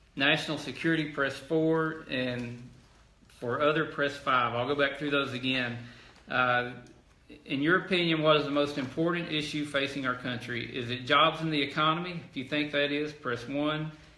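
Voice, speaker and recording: A man with an Arkansas accent speaks at a moderate pace in a fairly high, bright, sharp tone. His intonation is fairly even, and the room adds audible echo. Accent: southern US (Arkansas). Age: 40s. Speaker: politician. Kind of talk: telephone town hall. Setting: phone call.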